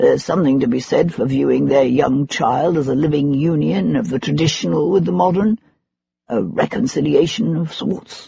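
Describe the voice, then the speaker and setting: A gruff put-on character voice, low-to-middle in pitch, at a moderate pace. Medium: read story. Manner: gruff, blunt.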